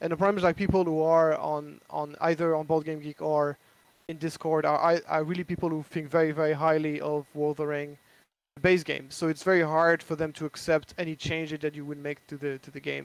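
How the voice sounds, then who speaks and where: A man with a French accent at a fairly quick pace, his intonation monotone and flat, on a very clean recording with a silent background. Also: fairly high pitch for a man. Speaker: board game designer. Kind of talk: casual chat. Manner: halting.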